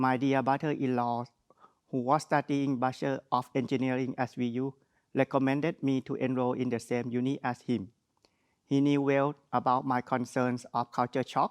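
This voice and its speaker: The intonation is monotone and flat, with a strong Thai accent. The sound is dry and close, with no echo. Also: man, medium pitch for a man, moderate pace. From Thailand. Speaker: graduate speaker. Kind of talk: graduation speech. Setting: virtual graduation ceremony.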